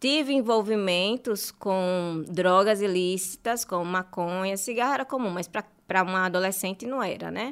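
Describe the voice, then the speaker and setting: This woman speaks at a medium pitch and moderate pace. The recording is very clean, with a silent background. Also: ordinary pitch variation, hardly any pauses. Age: 30s. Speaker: journalist and marketing specialist. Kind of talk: interview, personal testimony.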